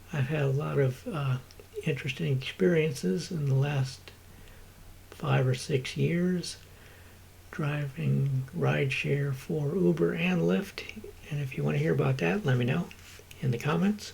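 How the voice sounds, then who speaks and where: This man talks at a fairly slow pace with long, frequent pauses. His medium pitch makes very wide swings. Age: 60s. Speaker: vlogger and rideshare driver. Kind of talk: casual vlog monologue. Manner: halting, many fillers.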